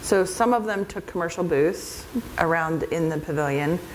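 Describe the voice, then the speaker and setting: Speaking at a moderate pace, a woman with a fairly low pitch and ordinary pitch variation is heard with audible room echo and noticeable background noise. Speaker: event organizer presenting at a conference. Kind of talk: conference presentation with audience Q&A.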